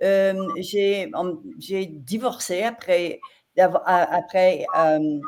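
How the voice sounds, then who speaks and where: Very slow speech comes from a woman at medium pitch. Her pitch varies in an ordinary way. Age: 70s. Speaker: life coach. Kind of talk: interview. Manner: halting.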